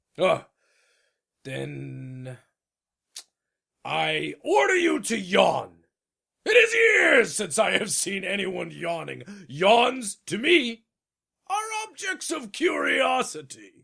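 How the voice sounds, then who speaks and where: Using a put-on character voice, a man projects loudly at a very slow pace, leaving long, frequent pauses. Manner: pompous, commanding.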